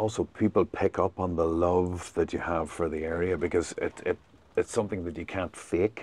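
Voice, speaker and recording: Over a quiet background, a man speaks at a moderate pace in a very deep, low, monotone, flat voice, with a dry, close sound and no echo. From Northern Ireland, Fermanagh near border. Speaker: boat tour guide. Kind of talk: casual chat.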